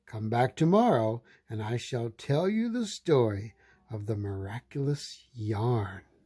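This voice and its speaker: Putting on a character voice, a man talks at a fairly slow pace in a medium pitch with ordinary pitch variation, captured on a very clean recording with a silent background. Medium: read story. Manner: slow, storytelling.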